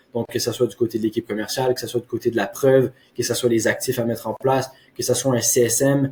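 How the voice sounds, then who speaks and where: A man talks at a fairly quick pace and medium pitch. His voice is somewhat breathy, with a dark, mellow tone. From Quebec. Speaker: marketing agency owner. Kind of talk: case study presentation. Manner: hesitant with frequent fillers.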